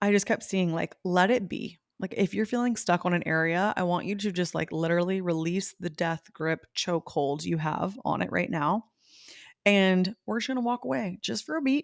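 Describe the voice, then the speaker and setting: A woman of medium pitch sounds animated, with lively intonation, in a very clean, dry and close recording with no echo and a silent background. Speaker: podcast host and intuitive medium. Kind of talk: casual spiritual podcast talk. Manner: fast.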